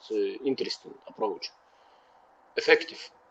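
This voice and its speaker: The voice is male. It carries a non-native accent. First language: not English. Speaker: community member. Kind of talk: casual chat. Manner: halting, many fillers.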